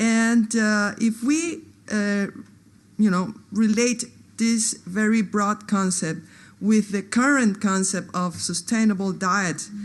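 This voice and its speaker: Against a quiet background, a woman speaks very slowly at a medium pitch, her voice somewhat breathy. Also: ordinary pitch variation. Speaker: anthropologist. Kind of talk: conference talk. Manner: halting, many fillers.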